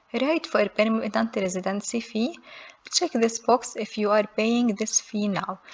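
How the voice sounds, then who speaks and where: Amid noticeable background noise, a woman with a non-native accent speaks at a fairly slow pace in a fairly high pitch. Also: ordinary pitch variation. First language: not English. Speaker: immigration how-to youtuber. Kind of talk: tutorial. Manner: reads form text aloud.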